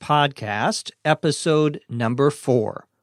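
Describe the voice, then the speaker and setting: A man with an American accent at a very slow pace, dry and close with no echo, music in the background. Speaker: English teacher. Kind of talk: slow educational podcast for English learners. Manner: slow, clear.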